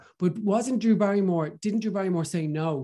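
With ordinary pitch variation, this man talks at a fairly quick pace against a quiet background. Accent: Irish. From Ireland. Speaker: radio host and drag performer. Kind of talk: casual chat.

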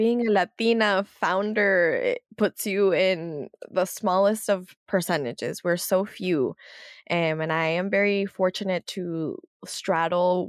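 In a plain, everyday voice with an American accent, a woman talks at a fairly slow pace, medium pitch and ordinary pitch variation, the sound dry and close with no echo against a quiet background. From US, San Jose and South Florida. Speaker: media founder and political analyst. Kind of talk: interview.

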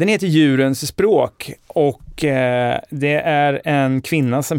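The sound is dry and close, with no echo. A man speaks at a very slow pace. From Sweden, Linköping. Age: 40s. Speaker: podcast host. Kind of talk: casual chat.

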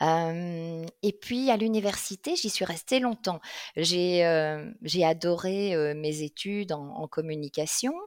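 Recorded very cleanly against a silent background, a woman talks at a very slow pace with a fairly low pitch and ordinary pitch variation. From Belgium, Liège region. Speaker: career coach. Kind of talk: interview. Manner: hesitant with fillers.

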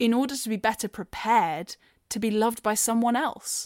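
A woman speaks in a plain, everyday voice at a fairly high pitch and a moderate pace. The sound is dry and close with no echo, in a very clean recording with a silent background. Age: 20s. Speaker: personal storyteller. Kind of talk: testimony.

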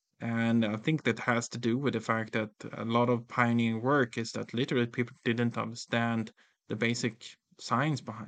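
Monotone, flat intonation runs through this man's speech. His voice is medium in pitch. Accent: Swedish. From rural Sweden. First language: Swedish. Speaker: tech company founder and CEO. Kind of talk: interview. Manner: halting.

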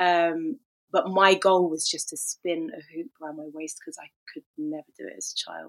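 Recorded dry and close with no echo, a woman with a plain, everyday voice talks at a moderate pace and a fairly low pitch, with ordinary pitch variation and big swings in loudness. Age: 30s. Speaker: hula hoop performer and fitness instructor. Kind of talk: casual chat.

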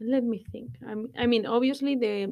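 In a Spanish accent, a woman talks at a moderate pace with ordinary pitch variation. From Spain, Guadalajara. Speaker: guest, Spanish expat. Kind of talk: casual interview. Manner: halting.

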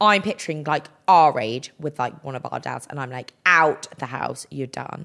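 The speaker has an English accent and ordinary pitch variation. The pace is moderate. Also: woman, very deep, low pitch for a woman. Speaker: podcast co-host. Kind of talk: casual chat.

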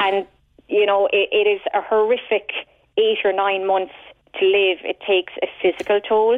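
A woman with a Cork accent speaks at a moderate pace and a medium pitch. Her intonation is monotone and flat, and her loudness stays very even. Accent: Cork Irish. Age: 40s. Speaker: patient sharing illness experience. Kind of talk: radio phone-in testimony. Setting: phone call.

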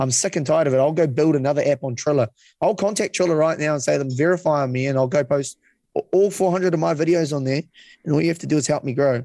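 Speaking very fast in a New Zealand accent, a man uses a fairly high pitch with ordinary pitch variation. The sound is dry and close, with no echo. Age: 20s. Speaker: content creator. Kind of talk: casual chat.

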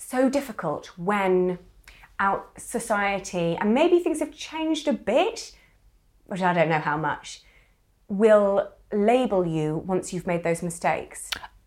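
Speaking with a British accent at a very slow pace, a woman leaves long, frequent pauses and makes very wide pitch swings. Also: medium pitch for a woman. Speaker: podcast co-host and writer. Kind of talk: casual interview conversation.

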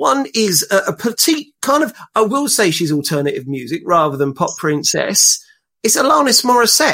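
A man with a London accent speaks in a raised, projected voice that is high-pitched, bright and sharp. His pitch swings very widely while his loudness stays very even. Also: moderate pace. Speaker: dating blogger and father. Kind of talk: casual chat.

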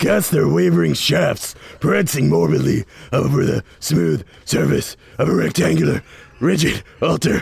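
Raspy and very deep in pitch, a man puts on a character voice at a moderate pace. His tone is dramatic and theatrical. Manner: dramatic, theatrical.

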